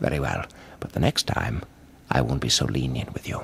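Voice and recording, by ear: A man puts on a cartoonish character voice with an extremely low pitch, vocal fry and a fairly bright tone. His intonation is lively and his pace moderate.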